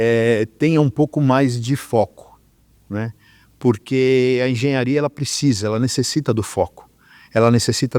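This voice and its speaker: A man speaks at a fairly slow pace with medium pitch and fairly even intonation. The recording is very clean with a silent background and a dry, close sound with no echo. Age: 60s. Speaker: electrical engineer. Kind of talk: interview. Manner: halting, many fillers.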